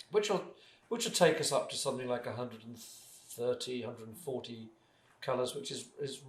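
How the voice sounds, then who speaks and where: With audible room echo around him, a somewhat breathy man speaks at a fairly quick pace and medium pitch, with ordinary pitch variation. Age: 60s. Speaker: artist and paint maker. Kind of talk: casual interview chat. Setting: home studio. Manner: halting, with many restarts.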